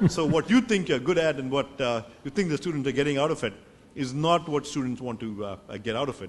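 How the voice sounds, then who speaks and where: Talking very fast with lively intonation, a man uses a fairly high pitch. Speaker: professor. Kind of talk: panel discussion. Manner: halting, many fillers.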